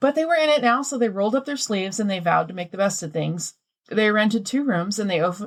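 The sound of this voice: The reading voice is unforced, with intonation that moves in a lively way. Little can be heard behind it.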